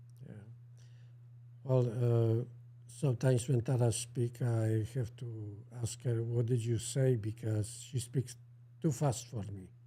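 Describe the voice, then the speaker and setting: The speaker has a strong Polish accent and a dark, mellow tone that is somewhat breathy. The delivery is monotone and flat at a fairly slow pace, with long, frequent pauses. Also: man, medium pitch for a man. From central Poland. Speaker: co-host. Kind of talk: casual chat. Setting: livestream. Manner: halting.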